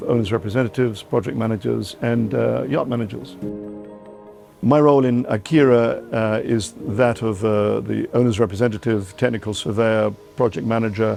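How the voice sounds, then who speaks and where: Music plays in the background as a man with an English accent talks at a fairly quick pace, medium pitch and ordinary pitch variation. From England. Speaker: yacht owner's representative. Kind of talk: interview. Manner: halting.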